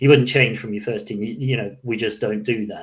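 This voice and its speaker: This man talks fairly quickly, somewhat breathy, with fairly even intonation. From Scotland, Glasgow. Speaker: podcast host. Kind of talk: casual chat.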